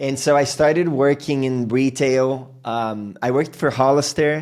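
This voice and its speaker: Speaking at a fairly slow pace, a man with a Portuguese accent uses a fairly high pitch and fairly even intonation. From Brazil, moved to US at 13. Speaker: podcast host. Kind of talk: casual interview chat.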